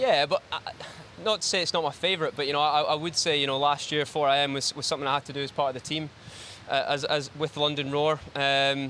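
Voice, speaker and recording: Over noticeable background noise, a man with a Glaswegian accent and a fairly high pitch talks at a very fast pace with fairly even intonation. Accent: Glaswegian Scottish. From Scotland, Glasgow. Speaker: swimmer. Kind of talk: post-event interview. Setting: studio. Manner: hesitant, many fillers.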